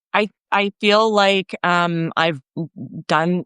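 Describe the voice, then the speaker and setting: Over a very clean recording with a silent background, a woman speaks in an unremarkable speaking voice. Her pitch is fairly low, her intonation fairly even, and the sound dry and close with no echo. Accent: Canadian. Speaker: workshop facilitator. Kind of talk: casual chat.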